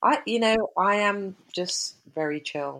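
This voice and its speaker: With a London accent, the speaker goes at a very slow pace with ordinary pitch variation in a very clean recording with a silent background. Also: woman. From West London. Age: 50s. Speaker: triathlete and cyclist. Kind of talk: casual interview chat.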